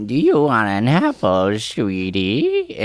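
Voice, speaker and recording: A man performs a put-on character voice at a very slow pace. Light background noise can be heard. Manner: sweet but sinister.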